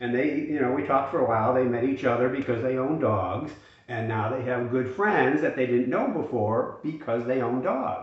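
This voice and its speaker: In a room with audible echo and noticeable background noise, a man speaks at a moderate pace and medium pitch with ordinary pitch variation. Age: 60s. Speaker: retirement finance youtuber. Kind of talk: casual monologue to camera. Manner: hesitant with many fillers.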